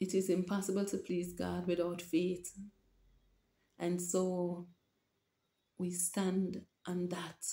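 Somewhat breathy and dark, mellow in tone, a woman with a Jamaican accent speaks very slowly in monotone, flat intonation with long, frequent pauses and audible room echo. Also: fairly low pitch for a woman. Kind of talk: religious vlog monologue. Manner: halting. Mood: earnest, emotional, preaching. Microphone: webcam.

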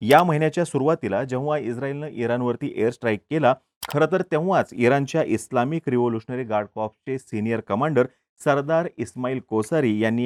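A man talks at a fairly quick pace with a medium pitch, ordinary pitch variation and a slightly mellow tone, in a dry, close sound with no echo.

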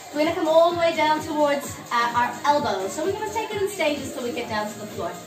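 A woman speaks at a high pitch and a fairly quick pace. Clear music plays behind her. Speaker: fitness instructor. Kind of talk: exercise class instruction. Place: home room. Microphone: camera far.

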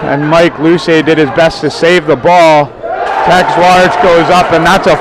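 A man talks in an animated tone at a high pitch and fairly slow pace, his loudness very even. The sound is dry with no echo, with crowd noise in the background. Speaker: play-by-play commentator. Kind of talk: sports commentary. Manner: animated, rising excitement on big plays. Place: stadium.

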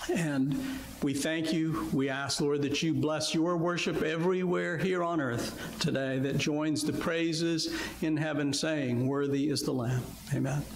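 Light background noise and audible room echo surround a man who speaks at a fairly slow pace with fairly even intonation. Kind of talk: public prayer. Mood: reverent, earnest. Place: church.

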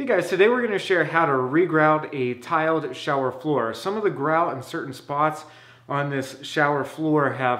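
A man's lively intonation and moderate pace come through over a quiet background. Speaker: home repair instructor. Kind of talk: tutorial. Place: bathroom. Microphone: phone near.

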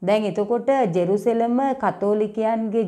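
A woman's fairly high voice with a dark, mellow tone. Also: quiet background. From Sri Lanka. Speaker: history YouTuber. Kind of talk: educational monologue. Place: home room.

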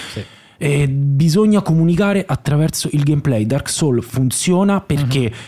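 A man's somewhat breathy, dark and mellow voice, fairly high in pitch, with lively intonation, a moderate pace and a quiet background. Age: 30s. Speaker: comedy writer and actor; podcast guest. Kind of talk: casual chat. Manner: halting. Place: studio. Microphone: studio mic.

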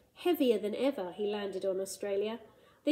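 Just plain reading aloud

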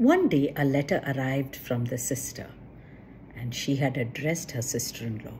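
A woman's extremely low-pitched, slightly mellow voice with big pitch swings at a moderate pace.

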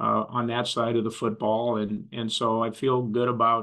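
A man at a moderate pace, flat and monotone, against a quiet background. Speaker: football coach at press conference. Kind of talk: interview answer. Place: office. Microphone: webcam.

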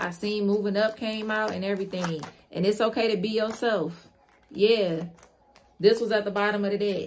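With light background noise behind her, this woman keeps a moderate pace and fairly even intonation. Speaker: tarot reader. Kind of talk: tarot reading commentary. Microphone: phone near.

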